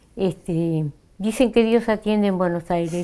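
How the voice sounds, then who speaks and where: Her tone is dark and mellow. The woman's intonation is fairly even. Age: 60s. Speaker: Mapuche actress and cultural worker; Mapuche actress. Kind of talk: interview. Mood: calm, reflective. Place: studio. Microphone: lapel.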